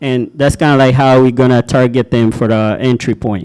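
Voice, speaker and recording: A man speaks at a moderate pace in a medium pitch with ordinary variation. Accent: African. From Kenya. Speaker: logistics startup founder. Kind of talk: pitch presentation and Q&A. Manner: casual, with many fillers.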